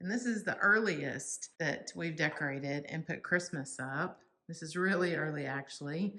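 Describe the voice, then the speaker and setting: With a Texas accent, a woman talks at a moderate pace with hardly any pauses, her fairly low voice bright and sharp in tone and her pitch varying in an ordinary way. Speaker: home decor YouTuber. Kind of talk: casual decorate-with-me vlog narration. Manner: casual, chatty with fillers.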